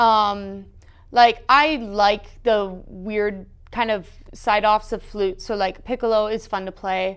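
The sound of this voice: Slowly, a woman speaks with fairly even intonation. Her tone is clear and smooth. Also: medium pitch for a woman.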